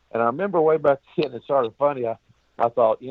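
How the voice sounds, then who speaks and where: In a Texan accent, the speaker has an animated tone and ordinary pitch variation. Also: man. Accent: Texas Southern. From Texas, Austin. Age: 60s. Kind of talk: interview storytelling. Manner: animated, folksy.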